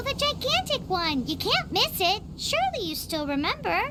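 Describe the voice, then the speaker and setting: A cartoonish character voice at an extremely high pitch talks at a moderate pace over loud background noise. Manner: inquisitive.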